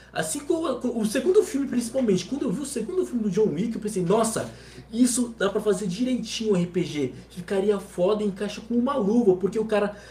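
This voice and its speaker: Lively intonation marks a man's speech, with noticeable background noise behind it. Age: 20s. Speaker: gamer and streamer. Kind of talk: casual chat.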